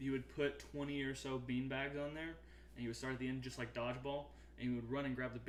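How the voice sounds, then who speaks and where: A man with an American accent speaks fairly quickly, his voice carrying audible room echo amid noticeable background noise. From US South, Arkansas. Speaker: podcast co-host. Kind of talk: casual chat. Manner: animated.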